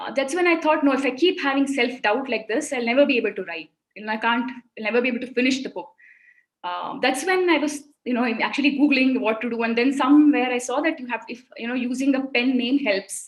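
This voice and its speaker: With a Kannada accent, a woman talks at a very fast pace in a high pitch, showing ordinary pitch variation and big swings in loudness. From India, Mumbai. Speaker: children's author. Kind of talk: interview on a webinar. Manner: halting.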